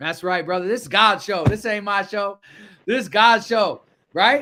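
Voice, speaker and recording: Raising and projecting his high, bright, sharp voice, a man with an American accent speaks at a moderate pace. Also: ordinary pitch variation. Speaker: livestream show host. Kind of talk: livestream talk show.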